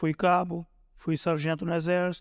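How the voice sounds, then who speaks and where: A man speaks at a fairly slow pace. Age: 60s. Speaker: volunteer firefighter sergeant. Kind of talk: interview storytelling.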